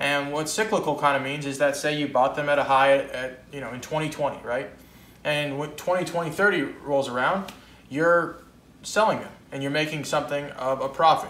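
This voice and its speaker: There is audible room echo as a man with a fairly high pitch and fairly even intonation speaks at a moderate pace. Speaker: coin dealer. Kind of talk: video blog about coin collecting. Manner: casual, conversational. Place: home room. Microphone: camera far.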